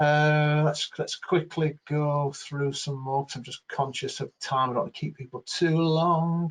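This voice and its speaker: Fairly high-pitched and somewhat breathy, a man speaks at a fairly slow pace. His intonation is monotone and flat. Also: hardly any pauses. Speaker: webinar facilitator. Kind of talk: webinar Q&A. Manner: hesitant, many fillers.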